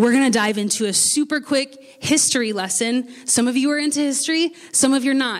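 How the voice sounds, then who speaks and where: Over noticeable background noise, a woman with an American accent talks at a moderate pace, her pitch high and ordinary in variation. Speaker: pastor. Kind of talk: sermon. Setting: church.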